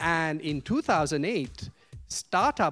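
The speaker is a man. His pitch is fairly high. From India (Vellore, south). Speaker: business school professor, moderator. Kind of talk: moderated discussion. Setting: classroom with audience.

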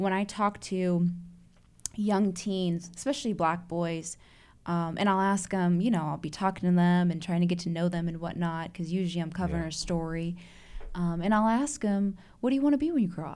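A woman's unremarkable speaking voice at a fairly low pitch. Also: ordinary pitch variation. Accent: American. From Chicago. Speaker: investigative reporter. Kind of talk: casual chat.

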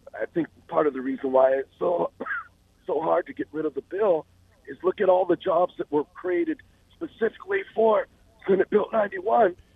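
A man's speech broken by long, frequent pauses, with noticeable background noise. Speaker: caller. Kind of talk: phone call to radio talk show.

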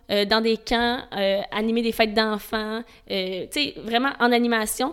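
A woman with a Quebec accent speaks at a fairly high pitch, her intonation fairly even. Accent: Québécois French. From Montreal, Quebec. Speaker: event safety specialist. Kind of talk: interview. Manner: passionate.

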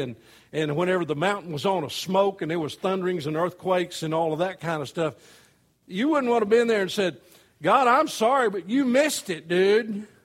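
Talking at a fairly quick pace, a man with an American accent uses a high pitch. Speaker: pastor. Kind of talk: sermon. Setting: church.

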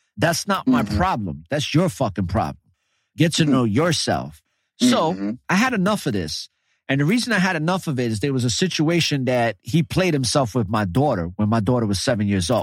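A man's medium-pitched voice with vocal fry, a fairly quick pace and very wide pitch swings. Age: 40s. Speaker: podcast host. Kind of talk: casual interview chat. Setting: online call via app.

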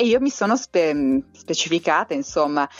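A woman with a fairly low voice talks at a medium tempo. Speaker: emotional kinesiologist and author. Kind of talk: interview. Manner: smiling voice.

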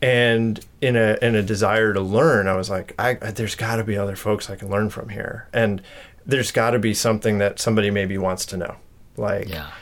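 A man speaks in an American accent with a plain, everyday voice. His pitch is fairly low, and his intonation fairly even. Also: fairly quick pace. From US Northeast, Connecticut. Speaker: artist and craftsman. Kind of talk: casual interview chat. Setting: at his home.

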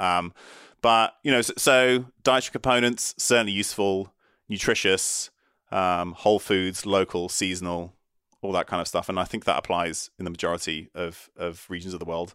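The man's pitch is very deep and low, yet his tone is bright and sharp. He keeps a moderate pace. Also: ordinary pitch variation. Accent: British. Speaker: neuroscientist and physician. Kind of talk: interview on brain health.

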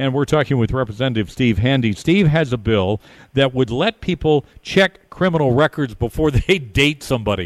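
With a dry, close sound and no echo, a man with a plain, everyday voice and a medium pitch speaks with lively intonation and very even loudness. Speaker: radio talk show host. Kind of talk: live radio DJ patter, chatty talk-radio banter with ad reads. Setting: live remote broadcast from a bar's headquarters. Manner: upbeat, conversational, warm, with quick jokes and easy ad-lib rhythm.

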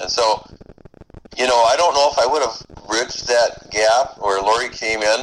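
Over noticeable background noise, a man speaks at a medium pitch. His pace is moderate and his pitch variation ordinary. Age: 60s. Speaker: guest, small business owner. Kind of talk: casual conversation.

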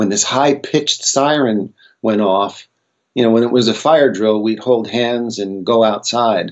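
A man with an American accent talks in an ordinary speaking voice at a medium pitch. His intonation is fairly even and his pace fairly slow. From United States. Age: 60s. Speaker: psychedelic researcher and author. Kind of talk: interview conversation.

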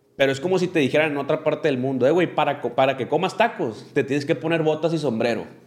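Speaking at a very fast pace with hardly any pauses, a man uses a fairly high pitch and ordinary pitch variation. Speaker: podcast host. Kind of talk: casual chat. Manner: animated.

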